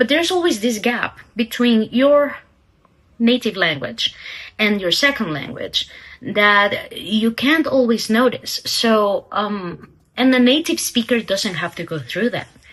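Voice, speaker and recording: A woman's fairly high voice in a non-native accent, with lively intonation and a fairly slow pace. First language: not English. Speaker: aspiring novelist vlogger. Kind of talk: casual vlog talk. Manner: hesitant, many fillers.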